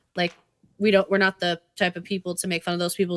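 The speaker has a New England accent and a bright, sharp tone. The sound is dry and close, with no echo. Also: woman. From Massachusetts. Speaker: podcast host. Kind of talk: casual banter, profane. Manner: playful, bantering.

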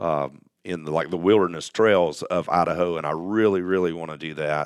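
A man's very deep, low voice at a fairly quick pace, with a Southern US accent. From US South, Alabama. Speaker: off-road community founder. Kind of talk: casual chat. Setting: studio.

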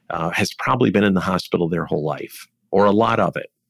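This man's voice is very deep and low, with vocal fry. He talks at a fairly quick pace. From Michigan, Detroit. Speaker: healthcare executive. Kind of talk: interview.

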